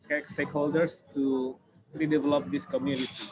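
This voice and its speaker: Fairly high male speech with fairly even intonation and noticeable background noise. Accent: Indonesian. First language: Indonesian. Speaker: city government urban planner. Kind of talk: online presentation Q&A. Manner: halting, many fillers.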